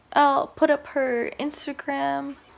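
A woman talks in a high voice with ordinary pitch variation. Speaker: vlogger. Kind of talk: casual vlog chat. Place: home room. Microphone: phone near.

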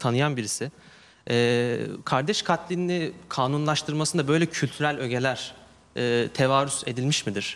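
This is a man talking. He keeps a moderate pace. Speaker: university student; questioner. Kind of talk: audience question. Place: studio. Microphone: handheld.

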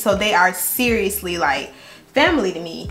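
Music can be heard in the background. Over it, a woman speaks at a moderate pace. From Jacksonville, Florida. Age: 20s. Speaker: YouTube beauty vlogger. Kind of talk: get-ready-with-me story time chat. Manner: animated, chatty. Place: home room. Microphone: camera far.

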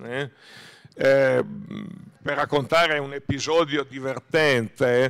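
Against a quiet background, a man speaks very slowly in a monotone, flat way, leaving long, frequent pauses. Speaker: author and historian. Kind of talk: book talk at festival. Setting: stage with audience. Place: stage. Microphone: podium.

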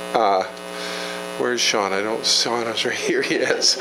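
Noticeable background noise behind a man's moderate pace. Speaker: provincial politician. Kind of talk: community meeting. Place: meeting room. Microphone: handheld.

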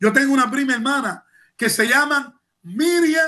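A man's raised, projected voice, extremely high in pitch, bright and sharp in tone, with lively intonation against a quiet background. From Cuba. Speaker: former political prisoner and human rights activist. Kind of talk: news interview testimony. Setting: remote video link. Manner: halting with repetitions; impassioned. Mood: indignant, emotional. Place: home room. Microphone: webcam.

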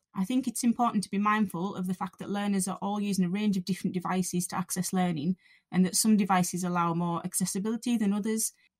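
A woman with a Cumbrian accent talks very fast with hardly any pauses, her somewhat breathy voice at medium pitch and fairly even in intonation, recorded dry and close with no echo on a very clean, silent background. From Cumbria, northern England. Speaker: college lecturer. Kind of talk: scripted narration.

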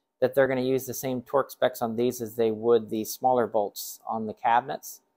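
The speed stays moderate. It's a man talking. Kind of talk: casual product explanation. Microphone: phone near.

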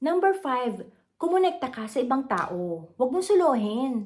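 Speaking at a fairly slow pace, a woman uses a high pitch with very wide pitch swings. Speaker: content creator. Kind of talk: motivational talk to camera. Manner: halting, frequent fillers.

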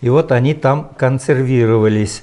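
Moving at a fairly slow pace, the speaker's voice carries a dark, mellow tone. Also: man. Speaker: imam, volunteer guide. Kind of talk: interview answer. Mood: warm, enthusiastic. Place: home room. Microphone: lapel.

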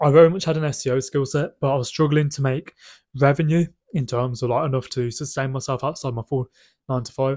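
Against a quiet background, a man talks at a fairly quick pace, somewhat breathy, with fairly even intonation. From UK. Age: 20s. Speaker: business owner vlogger. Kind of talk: casual vlog monologue. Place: home room. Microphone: phone near.

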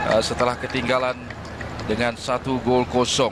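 A medium-pitched man at a moderate pace, with noticeable background noise. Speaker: match commentator. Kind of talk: live football commentary, play-by-play. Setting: stadium.

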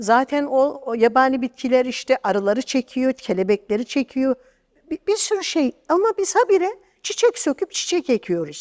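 High-pitched and swinging very widely in pitch, a woman talks at a moderate pace. The background is quiet. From eastern Turkey, Erzincan; Turkey. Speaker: translator and storyteller; bookseller, storyteller. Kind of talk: interview. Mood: critical, earnest. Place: studio. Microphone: lapel.

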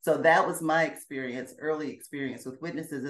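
Talking at a fairly quick pace, a woman with an American accent has a very deep, low pitch. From US South, Alabama and Georgia. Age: 50s. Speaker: former Jehovah's Witness. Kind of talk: interview, personal testimony. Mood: reflective, earnest. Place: home room. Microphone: video call.

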